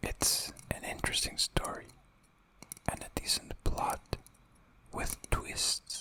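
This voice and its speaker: Whispering in a calm tone at a very slow pace, the voice sits over noticeable background noise. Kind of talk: ASMR video game review. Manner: whispered; soft-spoken, calm.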